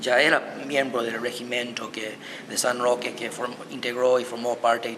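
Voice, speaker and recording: A man speaks slowly-ish, at a fairly slow pace, with medium pitch and monotone, flat intonation over noticeable background noise. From United States. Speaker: historian and violinist. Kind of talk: interview.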